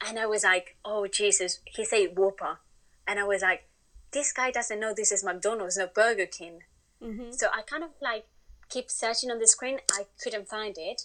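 A woman's fairly high voice with a Spanish accent, big swings in loudness, ordinary pitch variation, long, frequent pauses and a quiet background. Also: moderate pace. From Spain. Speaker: interview guest, Spanish woman living in UK. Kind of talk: casual interview chat.

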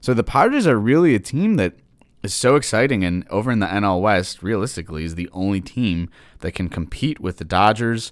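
With an American accent and lively intonation, a man talks at a fairly low pitch in a normal speaking voice. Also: very clean recording, silent background. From Detroit, Michigan. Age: 20s. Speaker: sports podcast host. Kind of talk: solo sports commentary podcast.

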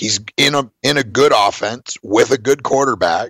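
Recorded dry and close with no echo, a man talks at a fairly slow pace with a medium pitch and ordinary pitch variation. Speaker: fantasy sports radio show co-host.

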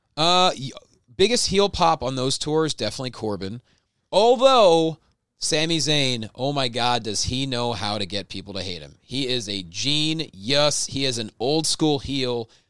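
On a very clean recording with a silent background, a man speaks at a fairly slow pace with lively intonation. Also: medium pitch for a man. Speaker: ring announcer and live event host. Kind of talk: casual chat.

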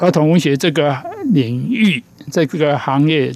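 A man with an ordinary speaking voice and a fairly high pitch talks at a fairly slow pace with lively intonation. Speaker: children's author. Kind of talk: interview.

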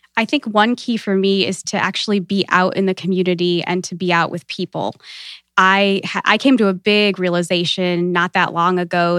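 The voice is bright and sharp, with a Midwestern American accent and fairly even intonation at a moderate pace. The recording is very clean, with a silent background, and dry and close with no echo. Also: woman. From US Midwest, small-town Ohio. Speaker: networking and professional development coach. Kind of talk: interview.

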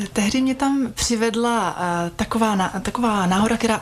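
Noticeable background noise accompanies a woman's voice. She speaks at a moderate pace with ordinary pitch variation. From Czech Republic, Vysočina region. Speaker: massage therapist. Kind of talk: radio interview. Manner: halting, many fillers.

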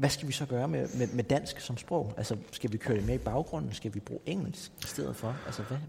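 A man's voice of dark, mellow tone with vocal fry and lively intonation. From Greenland, Nuuk. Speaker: podcast host. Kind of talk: interview. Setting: cultural center in Nuuk. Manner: halting.

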